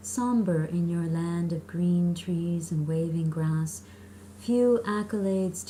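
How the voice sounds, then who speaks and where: A woman has an ordinary speaking voice at a fairly low pitch. She talks at a fairly slow pace. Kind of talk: poetry reading.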